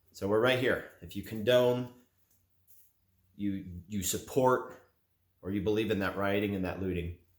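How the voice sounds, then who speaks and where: With fairly even intonation and a fairly low pitch, a man speaks at a moderate pace broken by long, frequent pauses. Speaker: gun and gear YouTuber. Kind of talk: opinion monologue to camera. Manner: monotone.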